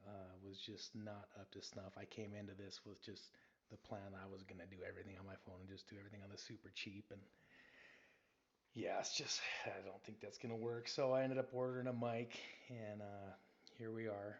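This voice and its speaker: A man speaks with big swings in loudness and a fairly even intonation. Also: fairly low pitch for a man, fairly quick pace. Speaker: sports podcaster. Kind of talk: casual podcast monologue. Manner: says um a lot.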